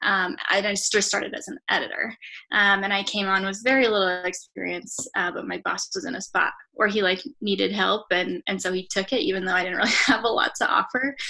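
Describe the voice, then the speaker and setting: A woman's medium-pitched voice with vocal fry, a bright, sharp tone, ordinary pitch variation and a fairly quick pace. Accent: American. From US West (northern Colorado). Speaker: photographer and writer. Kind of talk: interview.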